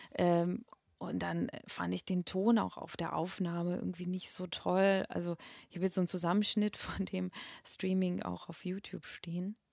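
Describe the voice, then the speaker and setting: In a Russian accent, a woman speaks at a fairly low pitch and a fairly slow pace. Her intonation is fairly even, and the sound is dry and close with no echo. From Russia, Moscow. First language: Russian (speaking German). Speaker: singer and voice teacher. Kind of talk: interview. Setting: flat share, in person. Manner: halting, many fillers.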